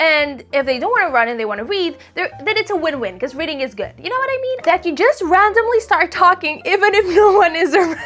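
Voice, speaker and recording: An animated woman at an extremely high pitch, with very wide pitch swings, a very fast pace, hardly any pauses and noticeable background noise. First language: Romanian. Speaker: book content creator. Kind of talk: casual chat.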